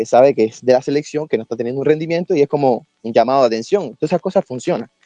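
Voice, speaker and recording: Over music in the background, a man talks in a fairly high pitch with ordinary pitch variation. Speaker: football analyst. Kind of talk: casual debate.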